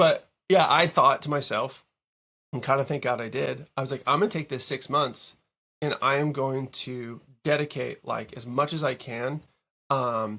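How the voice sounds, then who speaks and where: With an American accent and an unremarkable speaking voice, a man talks at a moderate pace in a fairly high pitch, recorded very cleanly against a silent background. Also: fairly even intonation. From Massachusetts, Boston area. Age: 40s. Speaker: music producer. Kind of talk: casual interview. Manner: casual, filler-heavy.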